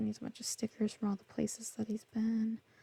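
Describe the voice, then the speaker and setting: The voice is soft-spoken, with a calm tone. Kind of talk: ASMR soft-spoken gameplay tour. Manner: soft-spoken, calm.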